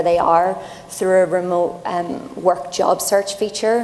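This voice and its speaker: A woman's medium-pitched voice in an Irish accent, monotone and flat, at a fairly slow pace over noticeable background noise. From Ireland. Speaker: tech company program lead on a panel. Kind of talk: panel discussion.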